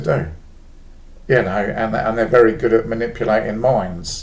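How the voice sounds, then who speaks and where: Audible room echo surrounds a man speaking at a moderate pace, his medium pitch marked by vocal fry. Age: 50s. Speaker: former cult member. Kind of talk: personal monologue vlog. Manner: casual, hesitant with fillers.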